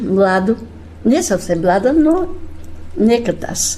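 A woman with a plain, everyday voice, lively intonation and a fairly slow pace. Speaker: retired music teacher, women's folk group leader. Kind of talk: radio interview.

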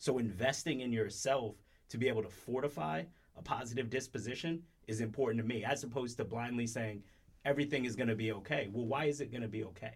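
This man talks at a very fast pace, his voice somewhat breathy and his pitch varying in an ordinary way. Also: medium pitch for a man. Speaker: podcast co-host. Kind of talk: casual chat.

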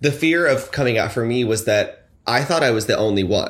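A man's ordinary speaking voice with an American accent, moderate pace, and ordinary pitch variation, on a very clean recording with a silent background. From North Carolina (Fayetteville), early years Los Angeles area. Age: 20s. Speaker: podcast guest. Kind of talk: casual chat.

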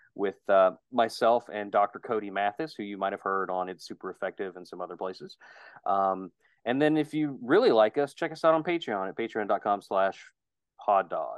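In an unremarkable speaking voice, a man with an American accent talks at a moderate pace, his pitch fairly low. His intonation is lively, and his loudness swings widely. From West Virginia. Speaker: podcast co-host. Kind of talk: casual chat.

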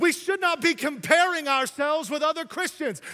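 A man's raised, projected voice at a moderate pace. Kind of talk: sermon. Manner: animated, exhortatory, urging the congregation to respond; repetitive, halting cadence with stressed phrases.

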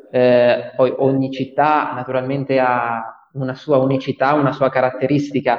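A medium-pitched man speaks in a monotone, flat way at a moderate pace. There is noticeable background noise. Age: 20s. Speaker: student association president. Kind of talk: interview. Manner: halting.

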